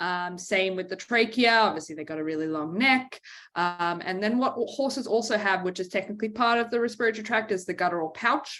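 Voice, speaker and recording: In a very clean recording with a silent background, a woman with a bright, sharp tone speaks at a fairly quick pace with hardly any pauses. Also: medium pitch for a woman, ordinary pitch variation. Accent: slight Australian. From Australia, Brisbane. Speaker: veterinarian. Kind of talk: lecture. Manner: many fillers (um).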